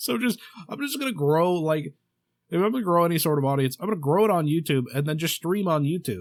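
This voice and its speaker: Mumbling at a very fast pace, a man speaks with a high pitch and lively intonation. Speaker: podcast host. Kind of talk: casual solo podcast monologue. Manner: halting, many fillers and restarts.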